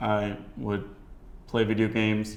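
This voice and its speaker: A man with an American accent speaks at a very slow pace and fairly low pitch. Audible room echo surrounds his voice. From United States. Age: 20s. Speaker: entrepreneur. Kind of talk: documentary interview.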